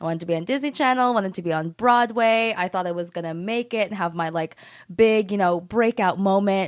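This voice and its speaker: An ordinary speaking voice from a woman, medium in pitch, with ordinary pitch variation. She talks at a fairly quick pace against a quiet background. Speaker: social media manager and content creator. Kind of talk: casual interview chat.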